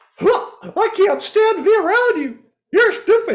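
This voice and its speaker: A put-on character voice moves at a fairly slow pace. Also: man, extremely high pitch for a man. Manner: high cartoon voice.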